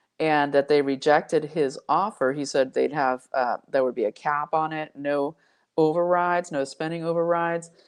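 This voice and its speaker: This woman has a very deep, low pitch and an enthusiastic tone. She speaks at a moderate pace against a quiet background. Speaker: independent news commentator / channel host. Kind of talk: news commentary monologue to camera. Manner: conversational, enthusiastic.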